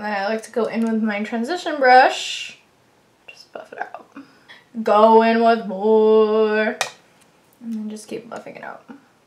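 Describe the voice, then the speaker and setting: A woman mumbles at a fairly slow pace in a fairly high pitch, with long, frequent pauses and big swings in loudness. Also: ordinary pitch variation. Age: 20s. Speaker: beauty vlogger. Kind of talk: makeup tutorial. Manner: mumbling; casual, chatty.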